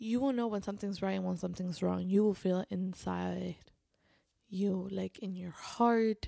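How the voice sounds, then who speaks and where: In a very clean recording with a silent background, a woman with a Spanish accent speaks with ordinary pitch variation. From Spain. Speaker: podcaster and convert to Islam. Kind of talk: personal storytelling monologue.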